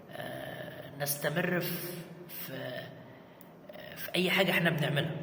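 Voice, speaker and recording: A man speaks with long, frequent pauses amid noticeable background noise and audible room echo. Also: fairly slow pace. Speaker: content creator. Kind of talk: casual vlog talk. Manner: halting, many repetitions; raising voice to be heard.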